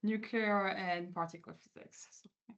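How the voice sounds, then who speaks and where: A woman speaks in a French accent with monotone, flat intonation. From France. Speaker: quantum physicist. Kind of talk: interview. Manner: hesitant, many fillers.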